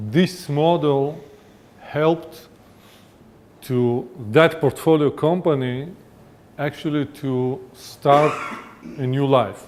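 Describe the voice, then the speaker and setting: A man speaks at a very slow pace, with long, frequent pauses. His pitch varies in an ordinary way. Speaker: venture capital investor. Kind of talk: conference presentation. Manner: hesitant, many fillers.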